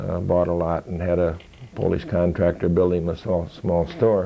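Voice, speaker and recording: Very deep and low in pitch, a man with an American accent speaks at a moderate pace in a dark, mellow tone. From Michigan, US (Lansing). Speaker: war veteran. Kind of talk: oral history interview. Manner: halting.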